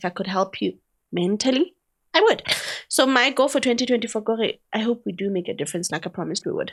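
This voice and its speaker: Talking at a very fast pace, a woman uses a fairly high pitch, lively intonation and an animated tone. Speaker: podcast host. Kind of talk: casual chat. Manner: talkative.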